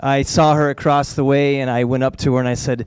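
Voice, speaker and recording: With a normal speaking voice and a fairly high pitch, a man speaks in a General American accent. His pace is moderate. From Denver, Colorado. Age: 40s. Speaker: school principal. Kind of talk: storytelling on stage. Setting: stage with audience.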